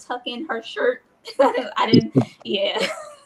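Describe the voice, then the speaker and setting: Over noticeable background noise, a high-pitched woman talks with lively intonation. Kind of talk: casual chat. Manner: speaks higher than natural voice; halting.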